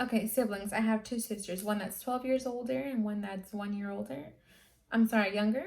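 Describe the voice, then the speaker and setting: A somewhat breathy woman's voice, fairly high in pitch, at a moderate pace with ordinary pitch variation. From California, San Francisco Bay Area, partly Guatemala. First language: Spanish. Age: 20s. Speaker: YouTuber. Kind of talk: casual Q&A vlog.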